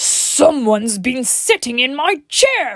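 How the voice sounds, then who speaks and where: In a put-on character voice, a female-sounding speaker growls at a high pitch and a fairly slow pace. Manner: growling.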